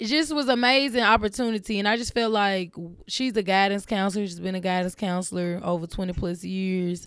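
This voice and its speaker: Music plays in the background as a woman talks in an animated tone at a fairly quick pace. Her pitch is medium, with ordinary pitch variation. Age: 20s. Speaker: podcast host. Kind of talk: solo monologue.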